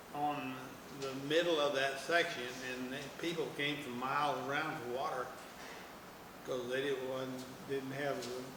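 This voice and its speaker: A man's fairly high voice comes through very slowly, noticeable noise all around it. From Oklahoma, USA. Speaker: oral history interviewee, farm family descendant. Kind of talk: oral history interview answer. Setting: museum interview.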